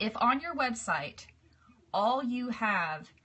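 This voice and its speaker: A woman is speaking. Her pace is fairly slow. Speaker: cake decorating teacher. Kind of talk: live stream tutorial. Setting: live video broadcast. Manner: relaxed.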